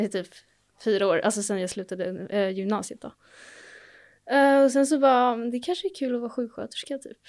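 On a very clean recording with a silent background, a woman talks at a fairly quick pace with a fairly high pitch, lively intonation, big swings in loudness and long, frequent pauses. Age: 20s. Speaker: nursing student. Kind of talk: casual chat.

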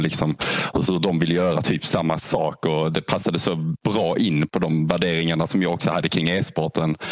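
A man's very deep, low pitch over noticeable background noise. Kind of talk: casual podcast interview.

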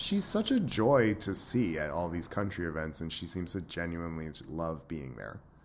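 With audible room echo, a man with a very deep, low pitch speaks at a moderate pace with ordinary pitch variation and hardly any pauses. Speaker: podcast host. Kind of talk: casual chat. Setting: video call.

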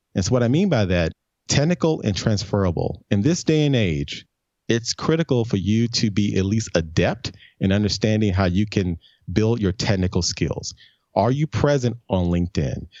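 With an American accent, a man in an ordinary speaking voice talks at a moderate pace, his pitch fairly low, his loudness very even and his intonation lively. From US South, Memphis, Tennessee. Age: 50s. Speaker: brand strategist. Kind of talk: interview.

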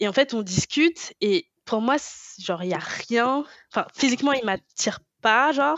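A woman speaks in a high pitch with lively intonation. Her pace is fairly slow. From France. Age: 20s. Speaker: podcast co-host. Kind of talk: casual chat.

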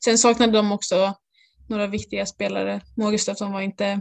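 A woman talks in a medium pitch with monotone, flat intonation. The sound is dry and close, with no echo. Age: 20s. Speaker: floorball player. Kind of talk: interview.

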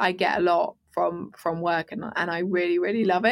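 At a fairly quick pace, a woman speaks at medium pitch with ordinary pitch variation and vocal fry. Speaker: entrepreneur, business co-owner. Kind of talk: interview conversation. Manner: calm.

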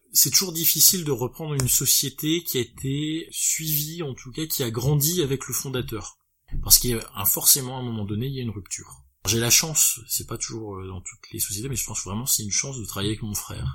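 A man's normal speaking voice at medium pitch, with lively intonation and a fairly quick pace. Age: 30s. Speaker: business owner. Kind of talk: interview.

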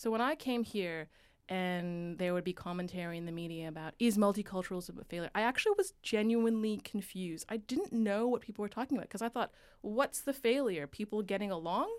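Ordinary speaking voice from a woman with a Canadian accent, medium pitch, ordinary pitch variation and a fairly quick pace, on a very clean recording with a silent background. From Canada, Vancouver. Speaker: radio producer and journalist. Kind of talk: casual interview.

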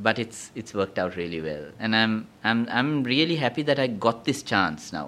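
A man with a plain, everyday voice speaks at a medium pitch with lively intonation against a quiet background. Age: 50s. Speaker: veteran DJ and educator. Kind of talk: casual interview.

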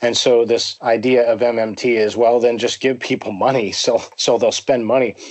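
Over noticeable background noise, a man with an American accent speaks at a moderate pace in a monotone, flat delivery. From US, Pennsylvania. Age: 40s. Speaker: writer on economics and finance. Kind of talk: interview conversation.

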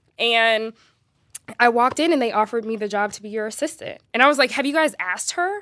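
A woman speaks at a very fast pace with lively intonation. Her fairly high voice has a bright, sharp tone. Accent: American. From US West Coast, Los Angeles. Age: 30s. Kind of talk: casual conversation.

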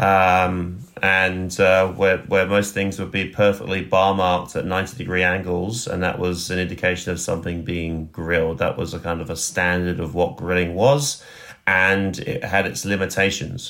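Deep and low-pitched, a man speaks with a southern English accent and fairly even intonation. His pace is moderate, with hardly any pauses. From southeast England, West Sussex. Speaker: chef and restaurant owner. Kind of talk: interview.

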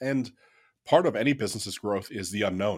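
Captured in a very clean recording with a silent background, a man talks with a US Midwestern accent. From Ohio, US Midwest. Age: 30s. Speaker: company CEO. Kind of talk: interview.

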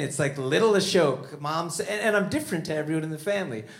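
With a normal speaking voice, a man talks at a fairly quick pace and a fairly high pitch. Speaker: stand-up comedian. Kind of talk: comedy show with banter.

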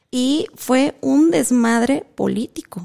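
Her tone dark and mellow, a woman speaks with lively intonation in a dry, close sound with no echo. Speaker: podcast co-host. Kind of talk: casual chat.

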